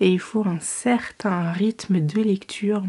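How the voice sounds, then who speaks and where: A soft-spoken, somewhat breathy woman's voice, medium in pitch, with a dark, mellow tone and a monotone, flat intonation. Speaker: book vlogger. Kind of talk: casual vlog to camera. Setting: at home at night. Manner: soft-spoken, quiet.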